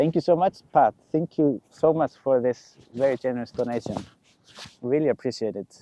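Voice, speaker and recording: This man has an Icelandic accent and a dark, mellow tone. His pitch varies in an ordinary way. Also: medium pitch for a man, moderate pace, dry, close sound with no echo. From Iceland, Westfjords. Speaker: drone pilot live streamer. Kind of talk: live stream commentary. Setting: outdoors at volcano. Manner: casual, halting.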